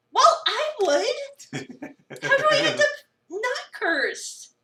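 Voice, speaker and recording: Putting on a squeaky character voice, a woman speaks at an extremely high pitch with very wide pitch swings and a very slow pace. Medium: game stream. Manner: incredulous, sarcastic.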